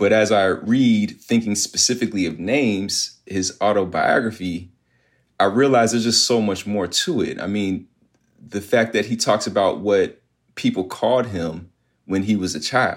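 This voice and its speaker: In a very clean recording with a silent background, a man with an ordinary speaking voice talks at a moderate pace, fairly low in pitch, with ordinary pitch variation. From Virginia, US (Virginia Beach). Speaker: history professor. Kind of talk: interview.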